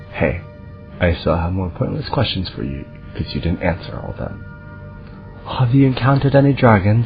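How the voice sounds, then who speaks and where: A soft-spoken man talks at a fairly quick pace with fairly low pitch and very wide pitch swings. His speech has long, frequent pauses over music in the background. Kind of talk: casual gameplay commentary. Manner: soft-spoken, quiet.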